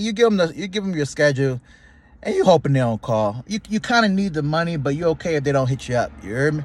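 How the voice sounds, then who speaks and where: Very fast and animated, a man's fairly high, somewhat breathy voice swings very widely in pitch on a very clean recording with a silent background. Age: 30s. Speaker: YouTuber. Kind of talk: casual vlog monologue. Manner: casual, animated.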